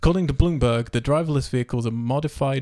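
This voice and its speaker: The recording is very clean, with a silent background. A man with an English accent speaks at a medium pitch, with a dark, mellow tone and ordinary pitch variation. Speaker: podcast host. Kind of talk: casual chat; news reading. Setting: home dining room.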